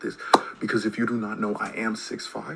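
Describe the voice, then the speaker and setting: Noticeable background noise runs throughout. A man speaks at a fairly quick pace. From Canada. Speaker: YouTuber. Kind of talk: casual commentary. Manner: casual, hesitant with many fillers.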